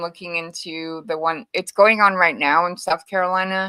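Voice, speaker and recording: Bright and sharp in tone, a woman speaks at a fairly low pitch with a slight Hawaiian accent. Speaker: co-host of true crime stream. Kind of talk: casual chat.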